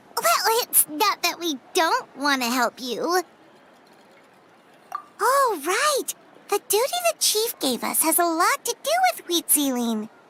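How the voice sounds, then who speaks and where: In a put-on character voice, the speaker uses an extremely high pitch with very wide pitch swings, a fairly slow pace and long, frequent pauses. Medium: video game. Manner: chatty, reactive.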